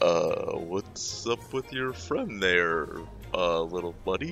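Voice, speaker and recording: Doing a put-on character voice, a man speaks very slowly at a very deep, low pitch over clear music in the background. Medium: actual play. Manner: halting, full of 'uh', polite.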